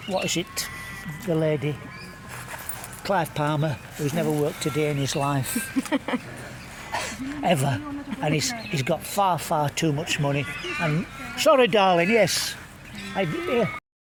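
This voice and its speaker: A man's fairly high voice with lively intonation at a fairly slow pace, long and frequent pauses, and noticeable background noise. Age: 70s. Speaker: party volunteer. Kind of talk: street interview.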